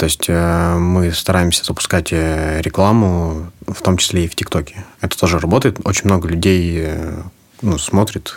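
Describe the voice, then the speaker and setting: Against noticeable background noise, a man with a very deep, low pitch speaks with fairly even intonation. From Sakhalin, Russian Far East (Korsakov). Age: 20s. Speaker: flower shop co-owner. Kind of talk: interview.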